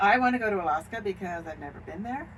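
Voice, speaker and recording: A woman with an American accent at a moderate pace, amid noticeable background noise and audible room echo. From Washington State. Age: 70s. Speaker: RV traveler. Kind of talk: casual chat.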